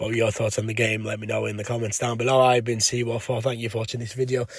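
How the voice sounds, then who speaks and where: A man's somewhat breathy, medium-pitched voice in a monotone, flat delivery, on a very clean recording with a silent background. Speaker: football fan vlogger. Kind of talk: match review vlog. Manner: casual, hesitant with fillers.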